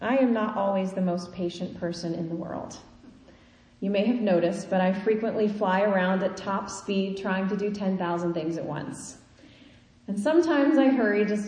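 Spoken with a Midwestern US accent at a moderate pace and ordinary pitch variation, the clip has audible room echo and noticeable background noise. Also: woman, medium pitch for a woman. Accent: US Midwest. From Kansas. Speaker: preacher. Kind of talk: sermon.

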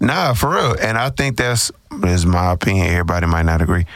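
With a very deep, low pitch and an American accent, a man talks at a very fast pace. Noticeable background noise is present. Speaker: podcast host. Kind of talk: casual chat. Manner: animated.

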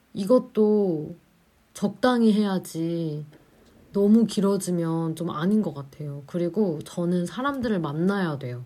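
Very slowly, a woman speaks with lively intonation in a dark, mellow tone. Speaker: student radio DJ. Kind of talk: casual radio chat. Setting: remote broadcast. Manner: talkative.

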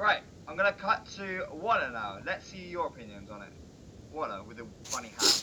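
A man speaks with big swings in loudness. Noticeable background noise is present. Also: moderate pace. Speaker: football podcast co-host. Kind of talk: casual chat about football.

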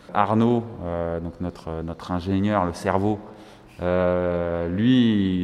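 Here a man speaks with a very deep, low pitch. His intonation is fairly even. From Paris suburbs, France (Val-d'Oise). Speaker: entrepreneur. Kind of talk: interview. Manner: hesitant, with fillers.

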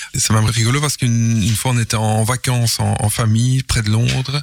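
Over noticeable background noise, the speech moves at a fairly quick pace with monotone, flat intonation. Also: man. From Belgium, Mons. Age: 50s. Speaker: game inventor. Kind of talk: radio interview. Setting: studio. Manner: halting.

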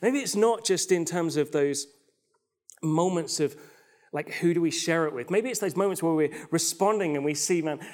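The pace of this man's speech is moderate. His voice is high in pitch, and the pitch varies in an ordinary way. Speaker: pastor. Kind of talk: sermon. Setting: recorded online church service. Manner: animated.

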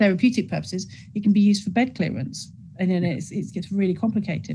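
A woman with a British accent speaks at a medium pitch in a dark, mellow tone. Her voice is somewhat breathy, and her intonation is fairly even. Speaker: show host, mental health nurse. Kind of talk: panel discussion. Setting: video call.

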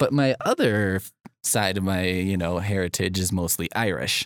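With a playful tone and a very deep, low pitch, a man talks at a fairly slow pace on a very clean recording with a silent background and a dry, close sound with no echo. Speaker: podcast host, librarian. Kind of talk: casual chat. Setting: podcast studio. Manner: joking, playful.

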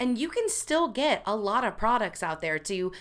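A woman with an unremarkable speaking voice talks at a fairly high pitch with lively intonation. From US Midwest, Missouri. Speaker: podcast host, marketing staff. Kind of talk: casual chat.

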